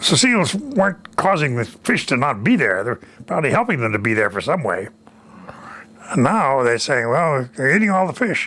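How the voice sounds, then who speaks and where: This man's voice is fairly high with a bright, sharp tone. He moves at a moderate pace with very wide pitch swings. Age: 80s+. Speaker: retired war veteran. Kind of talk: interview answer.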